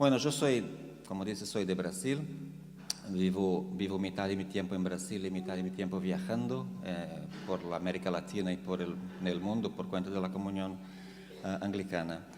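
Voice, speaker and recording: A man's very deep, low voice at a moderate pace, with ordinary pitch variation, audible room echo and noticeable background noise. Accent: Portuguese. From Brazil. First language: Portuguese (speaking Spanish). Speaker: theologian. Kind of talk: lecture. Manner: halting.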